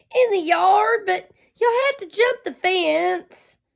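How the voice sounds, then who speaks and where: A put-on character voice from a woman, pitched extremely high, at a fairly slow pace. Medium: read story. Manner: nervous, excitable.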